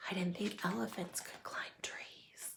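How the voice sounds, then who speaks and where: A put-on character voice, female-sounding, whispering at a fairly slow pace. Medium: read story. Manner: playful, teasing.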